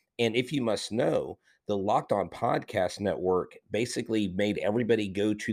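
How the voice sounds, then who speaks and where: A man's ordinary speaking voice, fairly low in pitch, with an American accent, fairly even intonation and a moderate pace. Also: very clean recording, silent background. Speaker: youth pastor turned teacher and Astros podcaster. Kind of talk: casual podcast interview.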